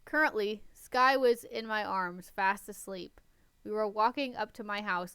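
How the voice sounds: The clip offers a natural reading voice. Pitch shifts by ordinary amounts.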